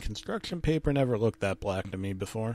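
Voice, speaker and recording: A man with an ordinary speaking voice, at a fairly quick pace. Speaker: comedic creepypasta narrator. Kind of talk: deadpan creepypasta reading with ironic asides, mock-grave ghost story telling. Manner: mock-serious, dryly undercutting the horror with absurd interjections.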